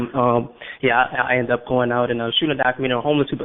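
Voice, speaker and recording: With a New Orleans accent, a man talks at a medium pitch with fairly even intonation. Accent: New Orleans Southern US. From US South, New Orleans. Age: 20s. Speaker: filmmaker. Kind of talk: radio interview. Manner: halting, many fillers and repetitions.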